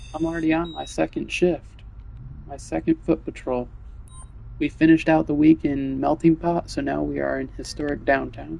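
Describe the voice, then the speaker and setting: A quiet voice speaks at a moderate pace over noticeable background noise. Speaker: video game streamer. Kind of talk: live gameplay commentary. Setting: at home, live stream. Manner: quiet, subdued.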